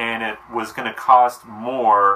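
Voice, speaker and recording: A man's intonation stays monotone and flat, with noticeable background noise behind him. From New Jersey. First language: Romanian. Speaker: cooking vlogger. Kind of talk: casual tutorial. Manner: casual, conversational.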